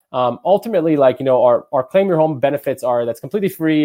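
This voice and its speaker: A dark, mellow tone with lively intonation at a very fast pace, in a dry, close sound with no echo. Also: man. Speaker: webinar presenter for real estate brokerage. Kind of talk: webinar presentation. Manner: filler-heavy, repetitive.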